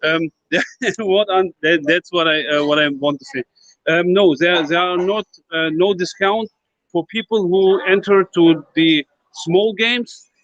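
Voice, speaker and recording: With a non-native accent, a man speaks at a fairly slow pace in a high pitch, using ordinary pitch variation. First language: not English. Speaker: crypto project team member. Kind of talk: live Q&A in an online voice chat. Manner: halting.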